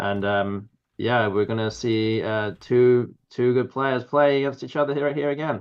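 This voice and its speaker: A man with an English accent speaks at a fairly slow pace, his medium pitch moving with ordinary variation. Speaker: Scrabble commentator. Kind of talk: live commentary. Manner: halting.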